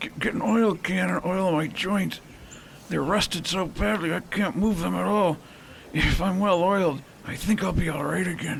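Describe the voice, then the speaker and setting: A man puts on a raspy character voice pitched high. Background noise is clearly audible. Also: moderate pace. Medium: audio drama.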